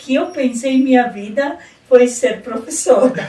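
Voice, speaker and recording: Noticeable background noise fills the clip. Over it, a woman talks in a high pitch. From southern Brazil, rural Rio Grande do Sul (Casca). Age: 60s. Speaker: retired education secretary and teacher. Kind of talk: radio interview.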